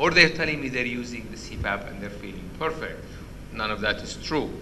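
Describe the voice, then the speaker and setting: Amid noticeable background noise and audible room echo, a man speaks at a medium pitch and a fairly quick pace, with ordinary pitch variation and big swings in loudness. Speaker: sleep medicine professor. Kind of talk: lecture. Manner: halting.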